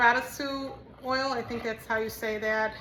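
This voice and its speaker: A woman's fairly high, monotone, flat voice at a fairly slow pace, with audible room echo and noticeable background noise. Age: 60s. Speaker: soap maker and small business owner. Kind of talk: tutorial. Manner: casual, with frequent fillers.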